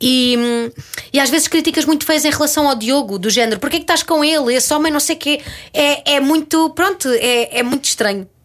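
A woman speaks at a fairly quick pace in a high voice. Her loudness stays very even, with ordinary pitch variation. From Portugal, Ramalhal (Torres Vedras area). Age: 30s. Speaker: actress. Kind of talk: casual chat.

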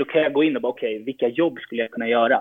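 A man speaks at a medium pitch. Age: 20s. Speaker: footballer. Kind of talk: interview.

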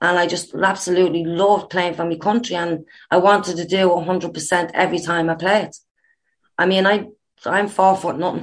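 A woman speaks with an Irish accent at a moderate pace. Her intonation is monotone and flat, and the background is quiet. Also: fairly low pitch for a woman. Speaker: former international footballer, coach. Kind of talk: interview.

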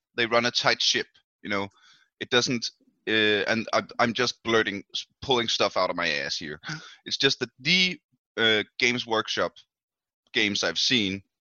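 At a moderate pace broken by long, frequent pauses, a man with a Danish accent speaks at a medium pitch with lively intonation. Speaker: podcast host. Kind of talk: casual chat.

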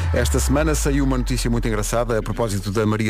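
A man's fairly low voice at a very fast pace over noticeable background noise. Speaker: morning radio host. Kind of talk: casual chat. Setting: radio studio.

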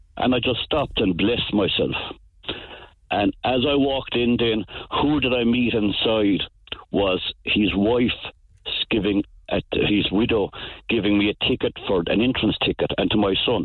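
In a rural Cork accent, a man with a medium pitch speaks at a moderate pace and very even loudness, with ordinary pitch variation and long, frequent pauses. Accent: rural Cork Irish. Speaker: farmer. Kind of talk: radio phone-in.

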